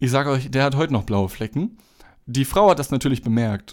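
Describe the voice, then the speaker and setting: A man talks at a fairly quick pace. His medium-pitched voice carries lively intonation. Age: 20s. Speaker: podcast host and gas station worker. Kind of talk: casual solo monologue; reading aloud own written story. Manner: hesitant, many filler sounds.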